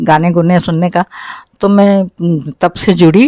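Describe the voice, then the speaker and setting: In a dry, close recording with no echo, a woman speaks at a fairly low pitch with a dark, mellow tone and ordinary pitch variation. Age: 70s. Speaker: homemaker and statehood activist. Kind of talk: interview. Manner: halting.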